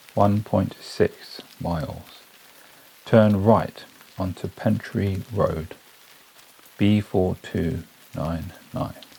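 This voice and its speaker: Soft-spoken and soothing in tone, a man talks at a very slow pace in a fairly low pitch with fairly even intonation and long, frequent pauses over noticeable background noise. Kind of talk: sleep story. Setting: studio. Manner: soft-spoken, slow, soothing.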